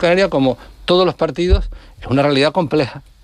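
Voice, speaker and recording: Lively in intonation, a man talks at a fairly quick pace. His is an ordinary speaking voice. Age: 60s. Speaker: politician. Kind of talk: radio interview.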